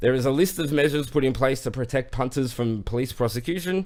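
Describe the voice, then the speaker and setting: This man has an Australian accent and a fairly quick pace. His pitch varies in an ordinary way. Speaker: online show host. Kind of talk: news segment on live stream. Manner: fast.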